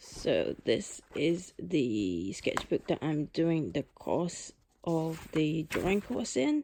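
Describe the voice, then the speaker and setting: A woman talks at a very slow pace with very even loudness. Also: very clean recording, silent background. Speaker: artist and art vlogger. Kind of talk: casual vlog. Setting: in bed at home.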